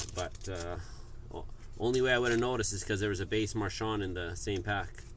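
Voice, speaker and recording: Fairly quick man's speech, fairly low in pitch with fairly even intonation, in audible room echo. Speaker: sports card group break host. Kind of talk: live card break stream. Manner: casual, conversational.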